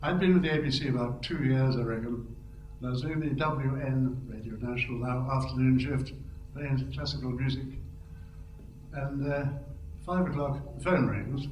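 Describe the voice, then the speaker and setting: With a relaxed tone and a medium pitch, a man talks at a moderate pace with fairly even intonation and long, frequent pauses over noticeable background noise. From India, educated in England. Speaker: former radio announcer and television newsreader. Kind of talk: reminiscing speech at an anniversary event, anecdotes. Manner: relaxed, humorous, storytelling.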